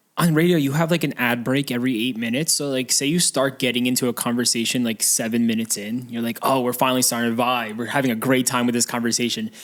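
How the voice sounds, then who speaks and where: Hardly pausing at all, a man with an American accent talks at a very fast pace, his medium pitch carrying fairly even intonation. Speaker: podcast co-host. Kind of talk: casual chat.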